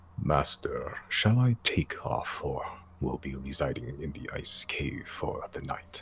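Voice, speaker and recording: Over clear background noise, a man puts on a rumbling character voice with a very deep, low pitch. He talks at a fairly slow pace. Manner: deferential toward a master.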